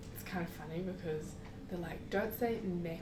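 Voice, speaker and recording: A woman with a strong New Zealand accent speaks at a moderate pace and a fairly low pitch. Noticeable background noise and audible room echo fill the recording. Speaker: traveler. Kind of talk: casual chat. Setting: podcast interview.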